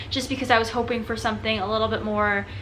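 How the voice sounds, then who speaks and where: The room echo is audible. Background noise is noticeable. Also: woman. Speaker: book reviewer on video channel. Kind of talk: casual video review. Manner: fast; animated.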